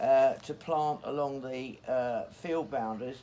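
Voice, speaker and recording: In a very clean recording with a silent background, a man with an English accent speaks at a moderate pace and with ordinary pitch variation. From England. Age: 80s+. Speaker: hedgelaying craftsman. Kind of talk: outdoor demonstration. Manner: halting.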